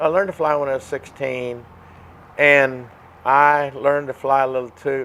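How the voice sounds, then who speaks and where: A man speaks in a flat monotone at a fairly high pitch amid noticeable background noise. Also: moderate pace. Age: 70s. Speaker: pilot and model aircraft builder. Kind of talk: casual interview. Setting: in a hangar. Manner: halting, frequent repetitions.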